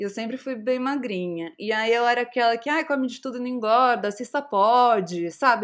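With an unremarkable speaking voice, a woman talks at a moderate pace and fairly high pitch, with ordinary pitch variation, in a very clean recording with a silent background. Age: 30s. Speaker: content creator and startup founder. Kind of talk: casual chat.

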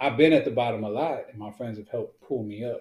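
Speaking fairly quickly, a man with an American accent has a medium-pitched, somewhat breathy voice with a dark, mellow tone. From Houston, Texas. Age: 40s. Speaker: musician and podcast co-host. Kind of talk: casual chat. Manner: animated.

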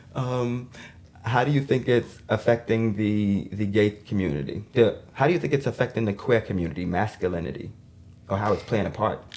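Using a plain, everyday voice, a man talks at a moderate pace and a fairly low pitch with ordinary pitch variation. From New York City (Queens/Brooklyn). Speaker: podcast host. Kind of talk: casual chat.

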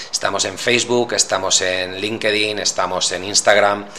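The man's intonation stays flat and monotone. He talks at a moderate pace. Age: 40s. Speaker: podcast host. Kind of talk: solo monologue podcast. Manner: hesitant, many fillers.

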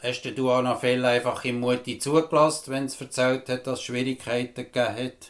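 A man with a normal speaking voice talks at a moderate pace and a medium pitch. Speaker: podcast host. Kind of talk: interview.

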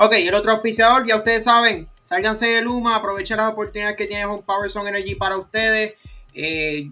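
Projecting a raised voice, a man speaks fairly quickly with a bright, sharp tone and high pitch. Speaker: football podcast host. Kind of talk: casual chat.

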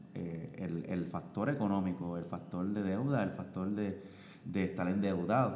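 Audible room echo surrounds a man with a very deep, low pitch, speaking at a fairly slow pace with ordinary pitch variation. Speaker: podcast guest, host's husband. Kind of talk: casual chat. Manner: halting.

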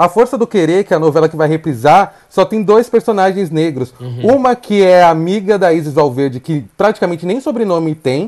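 Moderate pace with hardly any pauses, in a very clean recording with a silent background. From Brazil, São Paulo outskirts. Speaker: presenter, speaker and diversity consultant. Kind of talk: interview.

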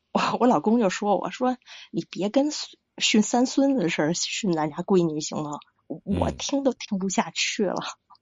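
A woman speaks at a moderate pace with a Beijing accent. Her pitch swings very widely. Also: medium pitch for a woman. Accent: Beijing Mandarin. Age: 40s. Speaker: caller. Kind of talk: call-in advice conversation. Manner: halting.

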